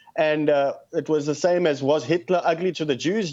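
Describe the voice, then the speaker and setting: At a moderate pace, a man talks in a fairly high voice with a South African accent. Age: 30s. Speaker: activist. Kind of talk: radio call-in interview.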